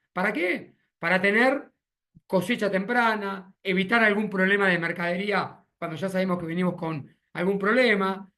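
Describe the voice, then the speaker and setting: With an Argentine accent, a man talks at a fairly slow pace in a high pitch, his tone bright and sharp. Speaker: agronomist consultant. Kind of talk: webinar presentation. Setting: video call.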